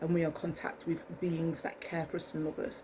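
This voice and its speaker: Speaking fairly quickly, a woman talks in an English accent. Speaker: vlogger. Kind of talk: casual monologue to camera. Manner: fast; rambling, halting with many ums.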